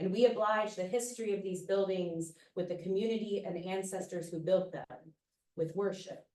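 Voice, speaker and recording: A woman's loud voice with an American accent, a dark, mellow tone and fairly even intonation. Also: medium pitch for a woman, moderate pace. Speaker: poet. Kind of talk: poetry reading.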